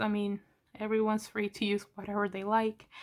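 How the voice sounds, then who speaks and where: A woman's fairly high voice comes through with a bright, sharp tone. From Latin America, raised in the US from a young age. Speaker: manga YouTuber. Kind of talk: casual vlog chat. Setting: at home, filming while painting nails. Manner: casual, hesitant with many fillers.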